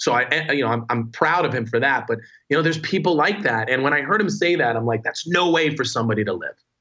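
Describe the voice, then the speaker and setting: This man talks at a very fast pace with a New Jersey accent. His pitch is fairly high and his intonation is lively. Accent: New Jersey American. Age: 40s. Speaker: entrepreneur. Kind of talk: casual interview conversation.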